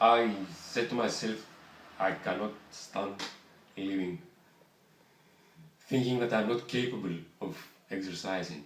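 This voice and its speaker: A man with a Greek accent speaks at a fairly slow pace and a fairly low pitch, with ordinary pitch variation, long, frequent pauses and audible room echo. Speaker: voice therapy patient. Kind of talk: interview. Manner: halting.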